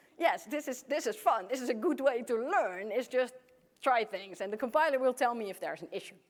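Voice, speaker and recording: A woman's high-pitched voice with a Dutch accent, fairly quick, with lively intonation and big swings in loudness. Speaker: computer science professor. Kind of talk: conference keynote. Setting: stage with audience.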